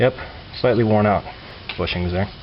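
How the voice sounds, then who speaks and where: There is noticeable background noise behind this man. His pitch sits in the medium range. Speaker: home car mechanic. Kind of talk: casual how-to talk to camera.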